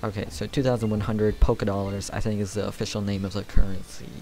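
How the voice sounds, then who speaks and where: A man's fairly low voice at a fairly quick pace, fairly even in intonation, with music in the background. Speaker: gaming youtuber. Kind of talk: let's play commentary. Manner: casual, halting with fillers.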